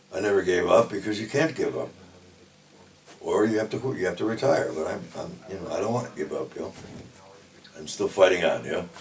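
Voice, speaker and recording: Speaking at a fairly quick pace but with long, frequent pauses, a man with an American accent is heard over noticeable background noise. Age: 60s. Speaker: death metal musician. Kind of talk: interview. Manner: casual, frequent fillers.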